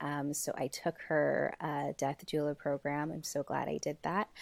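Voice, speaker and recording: An American accent comes through at a fairly slow pace. The recording is very clean with a silent background and a dry, close sound with no echo. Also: woman. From US, Brooklyn, New York. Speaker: grief and death guide. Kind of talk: casual interview.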